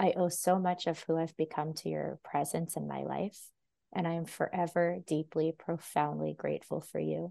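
Moderate pace with a Californian accent over a quiet background. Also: woman. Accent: Californian American English. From US West Coast, Los Angeles. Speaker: intuitive dancer and holistic healer. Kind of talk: podcast interview conversation; reading aloud.

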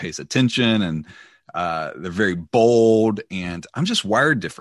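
A man with a Southern US accent at a moderate pace. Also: dry, close sound with no echo, quiet background. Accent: Southern American. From US South, Mississippi near Memphis. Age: 40s. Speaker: church leader. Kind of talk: interview.

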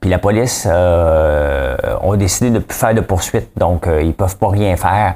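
A man speaks in a Quebec accent. His pitch varies in an ordinary way. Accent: Québécois French. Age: 40s. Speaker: podcast host, entrepreneur. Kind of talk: casual news commentary monologue. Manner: animated, informal.

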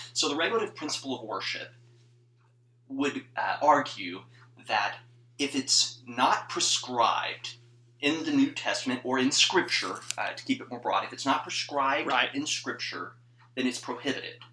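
With noticeable background noise behind him, a man with a fairly high pitch speaks at a moderate pace, using ordinary pitch variation and big swings in loudness. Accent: American. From northern Mississippi (US South). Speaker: church music PhD student. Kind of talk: casual chat.

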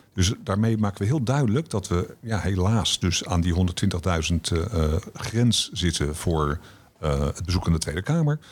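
Very deep and low, this man's voice has lively intonation and very even loudness. He speaks at a fairly slow pace. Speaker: director of a democracy education foundation. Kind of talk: podcast interview.

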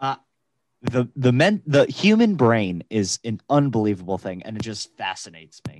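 A man with a plain, everyday voice speaks at a moderate pace and medium pitch, with lively intonation. The sound is dry and close with no echo, and his loudness swings widely. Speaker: podcast co-host. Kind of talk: casual chat.

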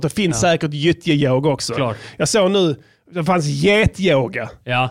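A man with a plain, everyday voice speaks at a moderate pace with a fairly high pitch and very even loudness, in a very clean recording with a silent background. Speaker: rapper and podcast host. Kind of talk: casual banter podcast. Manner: joking, playful.

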